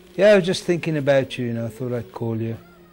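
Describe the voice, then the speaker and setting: With music in the background, a man speaks at a very fast pace with ordinary pitch variation. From England, Birmingham. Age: 50s. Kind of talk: documentary interview.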